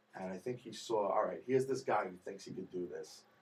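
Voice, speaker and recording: Speaking at a moderate pace, this man has an American accent. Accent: New York accent, stronger when nervous. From New York. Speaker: singer, talent show contestant. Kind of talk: interview. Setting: radio studio. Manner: animated.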